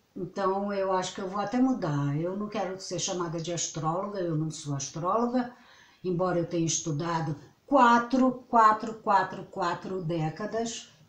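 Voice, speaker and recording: At a fairly slow pace, a woman talks in a normal speaking voice with a medium pitch and ordinary pitch variation. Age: 60s. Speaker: astrologer. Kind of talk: casual vlog monologue. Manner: rambling, self-interrupting.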